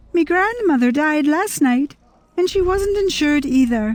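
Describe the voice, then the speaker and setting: Using a squeaky, put-on character voice, a woman speaks at a moderate pace in a high pitch with lively intonation. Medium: read story. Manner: tart, sorrowful.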